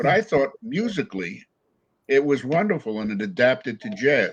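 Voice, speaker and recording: A man with an American accent talks at a moderate pace in a fairly high pitch, with vocal fry and very wide pitch swings. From New York, Catskills. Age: 80s+. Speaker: jazz pianist and club owner. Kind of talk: interview. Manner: halting.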